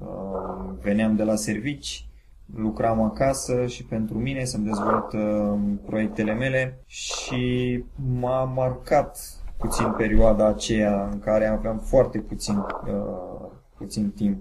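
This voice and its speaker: A man speaks very slowly in a fairly low voice with ordinary pitch variation, audible room echo, and noticeable background noise. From Romania, Bacău (Moldavia). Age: 30s. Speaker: entrepreneur, web hosting founder. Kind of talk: interview. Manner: hesitant, many fillers.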